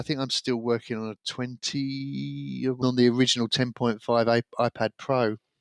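A man with an English accent speaks at a moderate pace with fairly even intonation, the sound dry and close with no echo. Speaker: podcast co-host, businessman. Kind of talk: casual chat.

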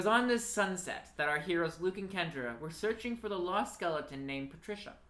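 Someone reads in a natural reading voice, and the intonation is lively.

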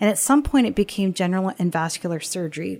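Lively in intonation, a woman with a plain, everyday voice speaks at a fairly quick pace and medium pitch. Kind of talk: interview, podcast host.

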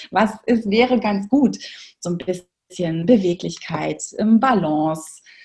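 A somewhat breathy woman's voice at medium pitch, very slow, with lively intonation. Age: 40s. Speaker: movement educator for children. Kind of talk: interview.

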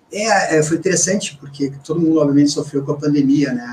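A man's ordinary speaking voice, pitched fairly high, its pitch variation ordinary. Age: 40s. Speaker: company CEO. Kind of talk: interview. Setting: radio studio.

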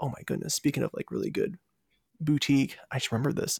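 A man with an American accent talks at a very fast pace, fairly high in pitch, with vocal fry and lively intonation. The sound is dry and close with no echo. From Virginia, US. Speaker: food travel podcast host. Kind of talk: interview.

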